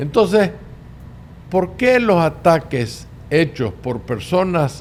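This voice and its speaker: Speaking very slowly, a man lets his pitch swing very widely. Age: 70s. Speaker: political podcast host. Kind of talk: political commentary monologue.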